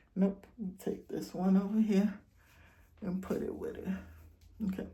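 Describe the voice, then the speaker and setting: A woman speaks at medium pitch in a somewhat breathy voice. The room echo is audible. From Jamaica. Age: 50s. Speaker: YouTube talk show host. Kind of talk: casual talk and hair tutorial. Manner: conversational, chatty.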